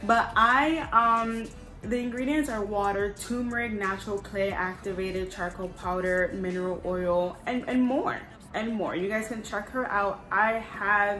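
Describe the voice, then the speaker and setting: With music in the background and audible room echo, a woman speaks at a medium pitch with ordinary pitch variation. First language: not English. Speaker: lifestyle vlogger. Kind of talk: product review. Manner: animated; fast.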